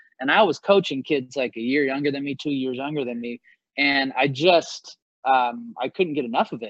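The speaker has a plain, everyday voice. The pitch variation is ordinary. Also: man, medium pitch for a man, moderate pace. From US Pacific Northwest, Seattle area. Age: 40s. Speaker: basketball coach. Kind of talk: interview.

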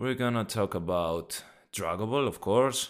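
In a Greek accent, a man speaks at a moderate pace on a very clean recording with a silent background. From Greece. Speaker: podcast host. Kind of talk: casual chat. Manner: animated.

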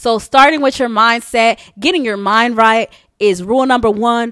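Her tone animated and upbeat, a woman speaks at a moderate pace. Her pitch is fairly high. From New York, US. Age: 20s. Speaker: podcaster and hairstylist. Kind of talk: casual solo podcast monologue, with a pep talk near the end. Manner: animated, conversational; upbeat, motivational pep-talk tone, urging listeners on.

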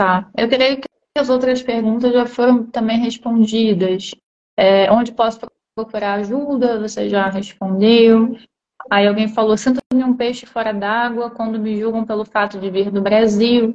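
In a Rio de Janeiro accent, a woman talks at a fairly slow pace with monotone, flat intonation. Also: fairly high pitch for a woman. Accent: Brazilian Portuguese, Rio (carioca). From Brazil, Rio de Janeiro. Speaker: live stream host, interviewer. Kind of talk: casual interview on a social media live stream. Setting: social media live video stream.

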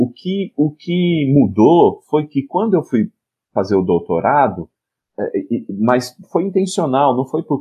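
A man with a São Paulo interior accent talks at a fairly slow pace, using very wide pitch swings. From São Paulo state, Piracicaba. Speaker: education professor and comics researcher. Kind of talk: casual interview chat.

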